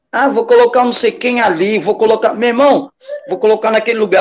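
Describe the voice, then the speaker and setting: A man's voice with very wide pitch swings. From Brazil, Baixada Santista (São Vicente/Santos). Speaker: hip hop pioneer, breakdancer. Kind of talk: casual interview chat. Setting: live stream.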